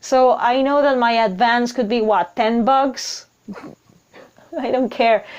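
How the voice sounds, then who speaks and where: The speaker has a non-native accent. The pitch varies in an ordinary way. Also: woman. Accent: noticeable non-native English. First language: not English. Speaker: writer and video blogger. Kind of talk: casual vlog monologue. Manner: hesitant, with repeated words.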